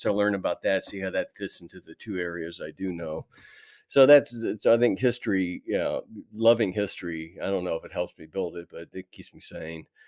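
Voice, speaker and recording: Over a very clean recording with a silent background and a dry, close sound with no echo, a man uses an ordinary speaking voice at a fairly low pitch, a fairly quick pace, ordinary pitch variation and big swings in loudness. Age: 60s. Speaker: toy designer. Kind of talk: interview.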